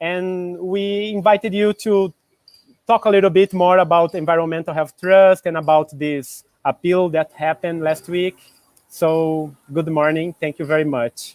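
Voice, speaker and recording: A man's high-pitched voice with a Portuguese accent, fairly even intonation and a moderate pace, in a dry, close sound with no echo. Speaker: interviewer. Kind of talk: interview. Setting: live video call.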